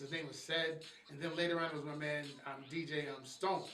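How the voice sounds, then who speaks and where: A fairly high-pitched man with audible room echo and noticeable background noise. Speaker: hip hop radio DJ. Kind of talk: interview conversation. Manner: casual, repetitive stammering.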